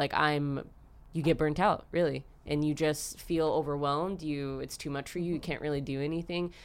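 In an American accent, a woman speaks at a moderate pace with a very deep, low pitch and monotone, flat intonation. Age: 20s. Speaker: dancer and instructor. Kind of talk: casual chat.

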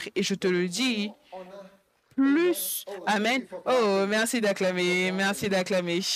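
A man's high-pitched voice, very even in loudness with ordinary pitch variation, at a very slow pace with long, frequent pauses. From Africa. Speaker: pastor. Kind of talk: sermon. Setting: church with live congregation.

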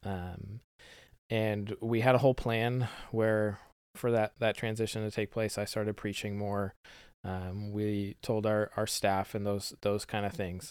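A man speaks at a fairly low pitch and a fairly slow pace, in monotone, flat intonation. The recording is very clean, the background silent. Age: 30s. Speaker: pastor. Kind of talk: casual chat.

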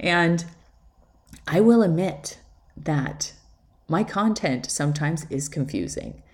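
With vocal fry and a very deep, low pitch, a woman speaks at a very slow pace, pausing long and often. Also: ordinary pitch variation. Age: 40s. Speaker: podcast host, life coach and photographer. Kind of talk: solo podcast monologue. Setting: at home.

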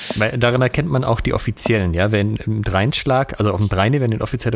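Delivered at a very fast pace with ordinary pitch variation, the speech sits over noticeable background noise. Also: man. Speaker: podcast co-host on historical fencing. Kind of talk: casual chat over video call.

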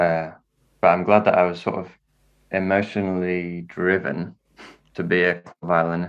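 In a quiet setting, a man with a very deep, low voice speaks in a flat monotone at a moderate pace, pausing long and often. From northern England (Wakefield, Yorkshire). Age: young. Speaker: jazz violinist and composer. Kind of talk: casual interview chat.

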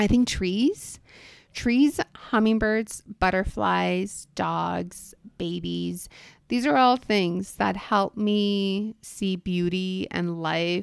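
At a very slow pace, a woman with an American accent speaks with ordinary pitch variation in a very clean recording with a silent background. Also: medium pitch for a woman. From US-Mexico border, California (Calexico), then Los Angeles. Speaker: podcast host and wealth manager. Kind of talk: personal monologue.

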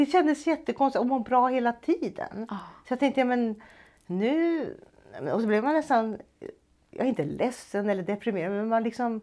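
High-pitched woman's voice in a dark, mellow tone, lively intonation, moderate pace. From Stockholm, Sweden. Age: 60s. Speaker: retired music teacher. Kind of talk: personal testimony.

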